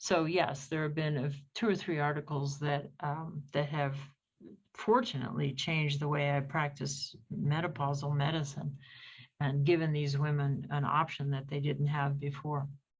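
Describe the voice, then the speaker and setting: Her pitch very deep and low, a woman speaks at a moderate pace, somewhat breathy and with fairly even intonation, amid audible room echo. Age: 70s. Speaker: gynecologist. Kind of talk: interview.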